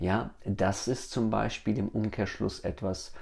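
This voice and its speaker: Words come from this man at a very slow pace. The rise and fall of his pitch is ordinary. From Germany. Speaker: podcast host. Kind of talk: solo podcast monologue. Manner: hesitant, with many fillers.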